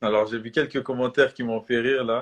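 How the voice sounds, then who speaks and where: A man at a medium pitch. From Switzerland. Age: 20s. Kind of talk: sermon. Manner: halting, many fillers.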